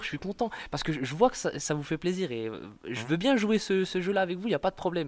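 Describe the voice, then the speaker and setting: Speaking fairly quickly, a man uses a high-pitched voice. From eastern France, Montbéliard. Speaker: stand-up comedian. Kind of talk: casual interview. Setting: in Marseille. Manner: halting, many repetitions.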